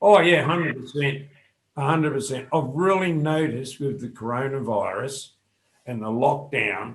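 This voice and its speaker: Fairly high, somewhat breathy male voice with ordinary movement in pitch. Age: 60s. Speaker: fitness coach. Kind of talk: interview.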